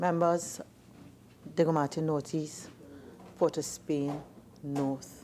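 Over light background noise, a woman with a very deep, low pitch and a dark, mellow tone talks at a very slow pace with ordinary pitch variation. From Trinidad and Tobago. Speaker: parliamentary speaker, chair. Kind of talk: formal procedural announcements; formal parliamentary announcements and rulings. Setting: parliament chamber. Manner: formal. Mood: firm, authoritative. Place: hall.

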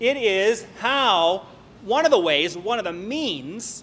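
A man talks in a raised, projected voice. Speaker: preacher. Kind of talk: sermon. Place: church. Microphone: podium.

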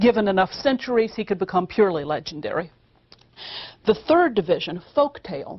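This woman, with an American accent, speaks at a fairly quick pace. Her medium-pitched voice moves in very wide pitch swings. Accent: American Midwestern-Southern. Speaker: classics professor. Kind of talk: university lecture.

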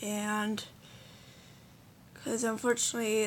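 Light background noise sits behind the recording. A woman speaks at a fairly slow pace. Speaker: gamer explaining computer specs. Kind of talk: casual talk to camera. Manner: hesitant, filler-heavy. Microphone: phone near.

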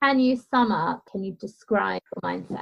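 The woman's voice is fairly high in pitch and somewhat breathy. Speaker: mindset and well-being coach. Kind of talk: casual interview. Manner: gentle.

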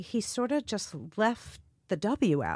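With a New York accent and lively intonation, a woman speaks very slowly in a dry, close sound with no echo, on a very clean recording with a silent background. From Queens, New York City. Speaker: graffiti artist and stylist. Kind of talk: casual chat.

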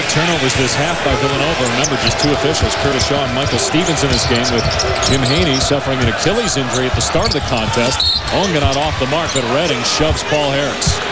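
Over noticeable background noise, a man with a fairly high voice talks in an animated tone at a very fast pace, with hardly any pauses and very even loudness. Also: ordinary pitch variation. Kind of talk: live play-by-play sports commentary on a college basketball game. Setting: arena broadcast of a basketball game.

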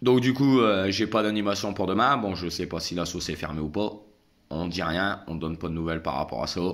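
With a very deep, low pitch, a man talks at a fairly quick pace with lively intonation. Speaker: vlogger. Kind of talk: casual vlog monologue. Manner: hesitant, many fillers. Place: home room. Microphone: phone near.

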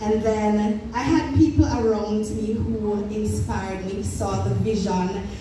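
A woman speaks slowly at a medium pitch, her intonation fairly even. Clear background noise and audible room echo are present.

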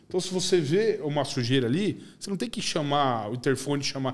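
With lively intonation, the words come out very fast. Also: man. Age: 40s. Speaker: podcast host. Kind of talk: casual chat. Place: studio. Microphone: studio mic.

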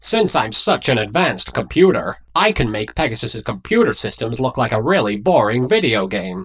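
A put-on character voice from a man, medium in pitch, at a moderate pace with hardly any pauses. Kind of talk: parody dub.

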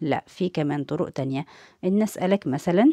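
Her voice is fairly low-pitched with a dark, mellow tone and very wide pitch swings, heard against a quiet background. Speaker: English teacher. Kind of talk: tutorial. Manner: slow, repetitive drilling.

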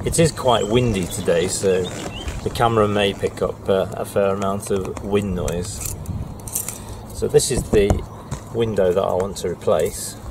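A man talks at a fairly slow pace, his voice dry with no echo and noticeable background noise behind it. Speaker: boat owner vlogger. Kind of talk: tutorial. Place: boat.

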